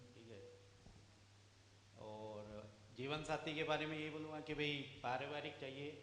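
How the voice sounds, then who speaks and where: A man's fairly high voice with ordinary pitch variation and big swings in loudness, long, frequent pauses, audible room echo and noticeable background noise. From Haryana, Bhiwani. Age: 40s. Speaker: furniture businessman, marriage candidate. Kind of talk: self-introduction on stage. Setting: party hall stage with audience.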